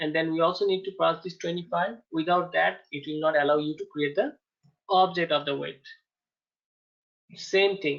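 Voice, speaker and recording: Long pauses come often, though the talking itself keeps a moderate speed. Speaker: software testing instructor. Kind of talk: lecture.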